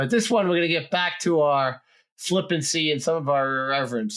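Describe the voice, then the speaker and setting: Someone with a New Jersey accent speaks at a fairly quick pace in a very clean recording with a silent background. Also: man. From New Jersey, US. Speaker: podcast host. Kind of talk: casual interview chat.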